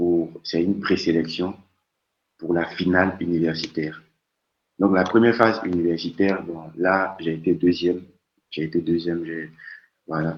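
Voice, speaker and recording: A man's very deep, low voice at a moderate pace, fairly even intonation and long, frequent pauses. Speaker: doctoral researcher, guest speaker. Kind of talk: talk. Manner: stammering repetitions.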